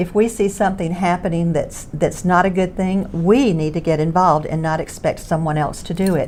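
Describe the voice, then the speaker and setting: A woman with a Southern US accent talks fairly quickly with hardly any pauses. Her pitch is fairly low and her intonation fairly even. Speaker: former beauty queen and singer. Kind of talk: casual chat.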